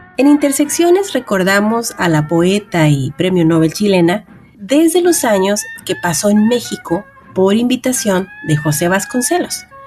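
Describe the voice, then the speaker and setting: Music plays in the background as a voice with a warm tone swings very widely in pitch. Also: woman. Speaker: radio host. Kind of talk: radio literary program hosting. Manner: warm, conversational.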